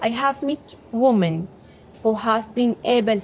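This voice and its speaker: Noticeable background noise is present. A woman is the one speaking. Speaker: doctor and aid worker. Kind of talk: testimony.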